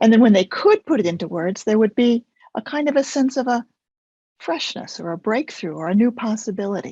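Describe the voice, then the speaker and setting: A woman with a fairly high pitch speaks at a fairly quick pace, her lively intonation and somewhat breathy voice caught in a dry, close sound with no echo. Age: 70s. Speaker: focusing teacher, method developer. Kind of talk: interview.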